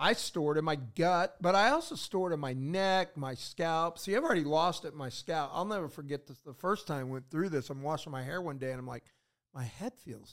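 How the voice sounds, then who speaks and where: Delivered at a fairly quick pace, a normal speaking voice with ordinary pitch variation and big swings in loudness comes through a very clean recording with a silent background. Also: man, fairly high pitch for a man. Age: 60s. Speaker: podcast host. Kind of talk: casual chat. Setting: studio.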